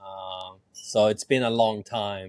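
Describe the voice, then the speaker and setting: A man is speaking. He has a Swedish accent. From Sweden. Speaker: dance teacher and business co-owner. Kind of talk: casual interview.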